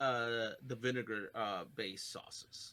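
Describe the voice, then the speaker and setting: A bright, sharp male voice at a very slow pace. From Mexico, raised in Texas. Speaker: podcast co-host. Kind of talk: casual chat. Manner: halting, many restarts.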